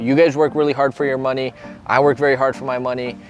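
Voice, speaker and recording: Music plays in the background as a man speaks at a very fast pace. His tone is enthusiastic and his pitch medium. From Italian and Venezuelan heritage. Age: 20s. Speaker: real estate agent. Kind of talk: home tour presentation.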